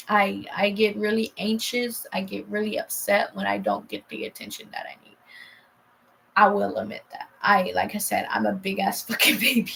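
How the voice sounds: A woman speaks at a moderate pace and medium pitch, with lively intonation. Her fairly bright tone carries a slightly husky edge and vocal fry.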